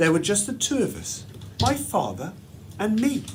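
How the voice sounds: The pitch swings very widely. The tone is slightly mellow. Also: man.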